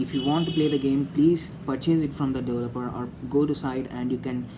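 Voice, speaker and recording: The speaker has an Indian accent. The pace is very fast. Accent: Indian English (Telugu). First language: Telugu. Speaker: gaming YouTuber. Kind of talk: opinion monologue to camera. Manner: halting, many fillers.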